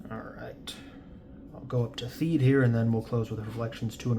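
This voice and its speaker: With noticeable background noise, a man talks at a moderate pace and medium pitch, using ordinary pitch variation. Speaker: trading card collector and seller. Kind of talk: casual pack-opening commentary. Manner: raised voice over noise.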